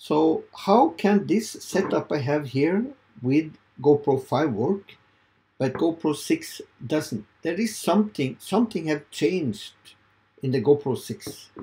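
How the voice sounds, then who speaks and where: Very slowly, a man with a Norwegian accent speaks at a fairly high pitch, his dark, mellow tone carrying lively intonation. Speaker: video creator. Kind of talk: tutorial. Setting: home studio. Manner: halting. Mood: puzzled, hopeful. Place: home room.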